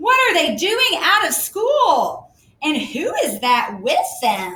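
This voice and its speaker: Using a put-on character voice, a woman speaks at an extremely high pitch with a raspy edge, very wide pitch swings and a very slow pace. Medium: read story.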